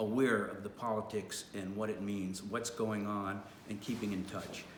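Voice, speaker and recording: The speaker has an American accent, fairly even intonation and a fairly slow pace. Audible room echo and noticeable background noise fill the recording. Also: man. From New York. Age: 60s. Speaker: retail worker and former local official. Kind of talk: personal testimony to camera. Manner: halting, many fillers.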